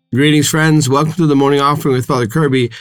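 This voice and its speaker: A man speaks in a normal speaking voice at a fairly high pitch. His pitch varies in an ordinary way. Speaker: priest. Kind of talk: fervent prayer, led aloud in a devotional tone. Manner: warm, earnest, pastoral.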